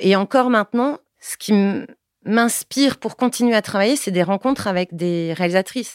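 A woman's normal speaking voice at a moderate pace, with ordinary pitch variation, on a very clean recording with a silent background. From Paris, France. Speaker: film director. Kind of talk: interview testimony.

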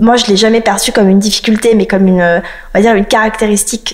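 Noticeable background noise sits behind a woman talking at a very fast pace. Her pitch is fairly high and her intonation fairly even. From France, partly raised in South Africa. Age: 30s. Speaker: lawyer and law firm founder. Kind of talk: interview.

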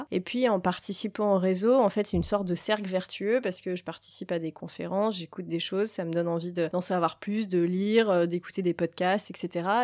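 Speaking at a fairly quick pace with hardly any pauses, a woman keeps a medium pitch and fairly even intonation in a very clean recording with a silent background. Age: 40s. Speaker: network president at a company. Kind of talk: interview. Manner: hesitant, many fillers.

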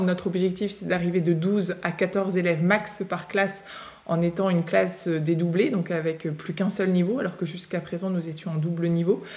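Noticeable background noise sits behind a woman with a fairly low pitch. She talks at a moderate pace with fairly even intonation. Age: 30s. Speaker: school founder and teacher. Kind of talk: interview.

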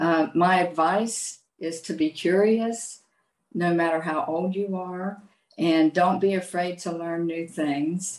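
Speaking very slowly with an Appalachian accent, a woman keeps a fairly low pitch and fairly even intonation. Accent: Appalachian American English. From US, southern West Virginia. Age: 70s. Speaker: retired chemist, language student. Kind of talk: interview.

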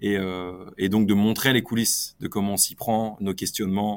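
A man with an ordinary speaking voice, fairly low in pitch, at a moderate pace with fairly even intonation, in a very clean recording with a silent background. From northern France, Lille area. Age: 30s. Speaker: entrepreneur. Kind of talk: interview.

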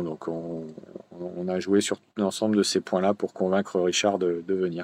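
Speaking at a moderate pace, a man has a fairly low pitch and a monotone, flat intonation. The recording is dry and close, with no echo. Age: 50s. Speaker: tennis tournament director. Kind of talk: interview. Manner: halting, with frequent repetitions and fillers.

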